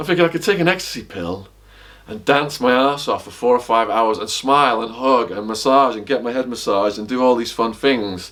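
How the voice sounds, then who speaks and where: Over noticeable background noise, a man in an English accent talks at a fairly quick pace with ordinary pitch variation. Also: medium pitch for a man. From northern England, Widnes (Cheshire, near Liverpool). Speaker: author and former drug trafficker. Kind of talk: casual interview. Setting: at his house.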